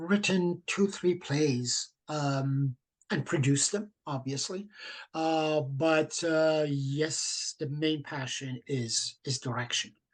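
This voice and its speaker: At a very slow pace, a man with a non-native accent speaks in a fairly high voice. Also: quiet background. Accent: foreign accent in English. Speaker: theatre director. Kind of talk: interview. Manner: halting, many fillers.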